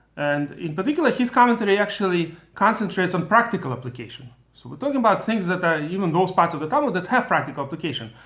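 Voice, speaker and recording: With a Russian accent, a high-pitched man races along at a very fast pace with hardly any pauses, very wide pitch swings and big swings in loudness, in audible room echo. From former Soviet Union. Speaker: Torah teacher. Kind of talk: lecture. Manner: halting.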